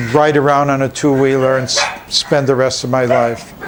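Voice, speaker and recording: Amid noticeable background noise, a man with a fairly high pitch speaks at a fairly slow pace. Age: 70s. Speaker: animal shelter director. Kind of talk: interview. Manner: halting.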